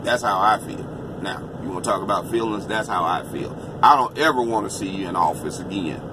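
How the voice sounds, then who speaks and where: Amid noticeable background noise, a man with a fairly low pitch speaks at a fairly quick pace with ordinary pitch variation. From United States. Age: 50s. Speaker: trucker giving political opinions. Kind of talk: political monologue vlog. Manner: impassioned.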